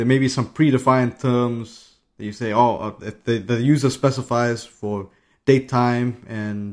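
A man's medium-pitched voice, flat and monotone in intonation, at a fairly slow pace, on a very clean recording with a silent background. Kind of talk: casual chat. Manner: halting, hesitant.

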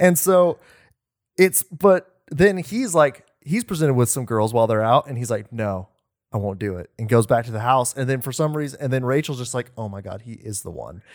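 An unremarkable speaking voice at a moderate pace, with big swings in loudness. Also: man, medium pitch for a man, lively intonation. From Oklahoma. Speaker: podcast co-host. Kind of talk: casual chat.

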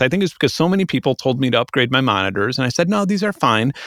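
A man with an American accent talks very fast. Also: very clean recording, silent background. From South Chicago, US. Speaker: musician and YouTuber. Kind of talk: casual chat.

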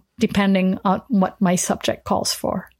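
On a very clean recording with a silent background, a woman speaks at a medium pitch and a fairly slow pace with a French accent. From France. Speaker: photographer and educator. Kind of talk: interview.

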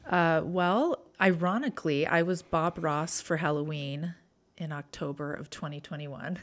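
With a very clean recording and silent background, a woman with an American accent talks at a fairly slow pace using ordinary pitch variation. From Utah. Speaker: former social worker. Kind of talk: interview conversation.

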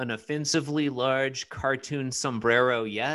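The speaker uses a natural reading voice. Nothing else stands out.

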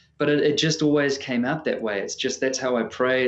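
Here a man speaks with a New Zealand accent. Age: 30s. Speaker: singer-songwriter. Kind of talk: casual interview chat.

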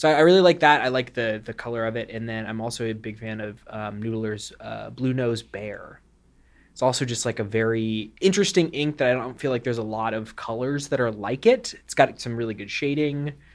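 An ordinary speaking voice from a man at medium pitch, with big swings in loudness. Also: ordinary pitch variation, fairly quick pace. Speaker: warehouse receiving worker. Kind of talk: casual chat.

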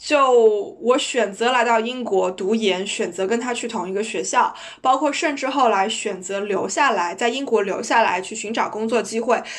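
At a moderate pace, a woman with a fairly high pitch and ordinary pitch variation speaks with audible room echo. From China. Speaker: podcast co-host. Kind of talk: casual chat.

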